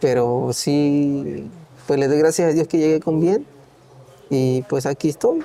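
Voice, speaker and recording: Speech at a very slow pace, with long, frequent pauses, comes in a Mexican accent. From Oaxaca, Mexico. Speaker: migrant worker. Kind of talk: interview answer.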